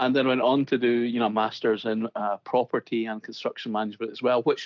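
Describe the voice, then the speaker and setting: A man's medium-pitched voice with a Scottish accent, very fast and monotone, flat in intonation. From Scotland. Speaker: construction digital consultant. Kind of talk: podcast interview.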